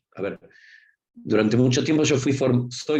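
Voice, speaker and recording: A man with a Rioplatense accent speaks at a fairly quick pace in a medium-pitched, somewhat breathy voice. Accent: Argentine Rioplatense Spanish. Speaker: university professor. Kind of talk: lecture. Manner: fast; informal, conversational.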